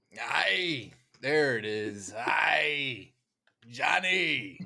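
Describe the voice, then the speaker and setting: Putting on a raspy character voice in a West Country accent, a man speaks at a medium pitch. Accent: old pirate, West Country style. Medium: actual play. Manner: boisterous, growling "aye".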